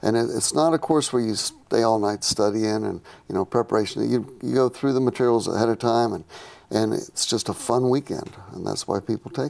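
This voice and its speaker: This man talks at a fairly quick pace, medium in pitch, with ordinary pitch variation. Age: 60s. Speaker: scuba diving instructor. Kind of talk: studio interview. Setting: studio. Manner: halting, repeats words.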